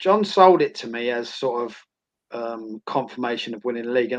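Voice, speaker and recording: With an Essex accent, a man talks with lively intonation. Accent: Essex twang. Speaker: former footballer and academy coach. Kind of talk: interview.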